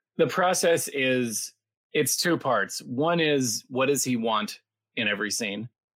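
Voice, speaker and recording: Lively intonation marks a plain, everyday voice that proceeds at a fairly slow pace. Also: man, medium pitch for a man. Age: 40s. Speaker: Broadway actor and voice actor. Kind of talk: casual interview chat. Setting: live video call stream.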